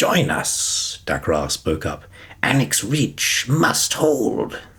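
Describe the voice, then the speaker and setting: Putting on a character voice, a man draws out his words at a very slow pace with a medium pitch. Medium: read story. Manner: clipped, broken sentences.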